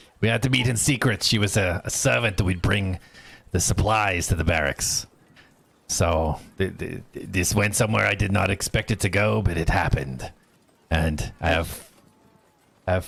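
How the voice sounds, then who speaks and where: A man's raspy, put-on character voice, very deep and low, with ordinary pitch variation and long, frequent pauses. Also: moderate pace. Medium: actual play. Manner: gruff, halting.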